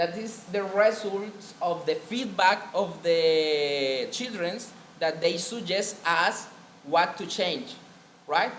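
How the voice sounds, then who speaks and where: A man with a Spanish accent talks very slowly in a high pitch, with noticeable background noise and audible room echo. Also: ordinary pitch variation. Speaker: biomedical engineer presenting at a conference. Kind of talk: conference presentation. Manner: halting.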